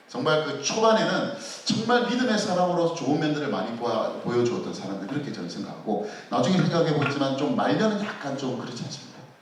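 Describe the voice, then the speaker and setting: A man talks at a fairly quick pace with very wide pitch swings. Noticeable background noise and audible room echo surround his voice. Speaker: pastor. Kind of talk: Bible study lecture. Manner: fast.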